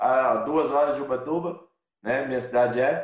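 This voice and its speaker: A man is speaking. His pace is moderate. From interior of São Paulo state, Brazil. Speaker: van-life traveler. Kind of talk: casual interview. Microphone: unstable internet connection.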